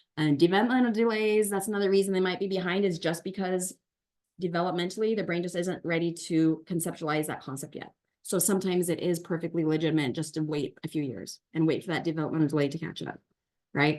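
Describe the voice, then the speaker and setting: A woman talks at a very fast pace. Her pitch is fairly low, with ordinary variation. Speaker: tutor and teacher for homeschoolers. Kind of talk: online workshop presentation.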